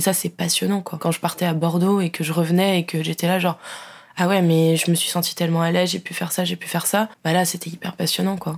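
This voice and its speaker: A woman with a fairly low voice talks very quickly. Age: 20s. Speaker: communications graduate and traveller. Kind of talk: casual chat. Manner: animated.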